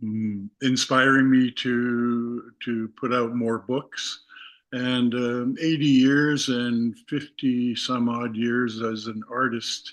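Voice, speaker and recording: A man's medium-pitched voice with a Canadian accent, very slow and monotone, with flat intonation. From Canada. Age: 80s+. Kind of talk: radio interview.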